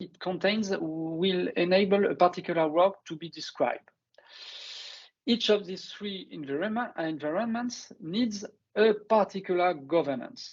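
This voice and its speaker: Ordinary pitch variation marks this fairly slow delivery in a French accent. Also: man. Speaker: construction industry researcher. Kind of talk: webinar presentation. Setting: online webinar. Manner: halting, many hesitations.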